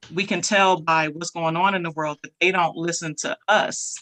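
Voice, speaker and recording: A woman with an American accent talks at a fairly slow pace in a fairly low, bright, sharp voice with fairly even intonation, the sound dry and close with no echo against a quiet background. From Buffalo, New York. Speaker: motivational speaker. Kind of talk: casual talk. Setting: online live session.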